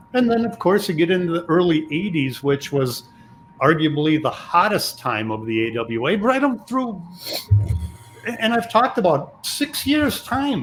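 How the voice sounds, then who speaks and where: A high-pitched man at a moderate pace, with very wide pitch swings and noticeable background noise. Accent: American. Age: 50s. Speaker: podcast host. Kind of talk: podcast interview.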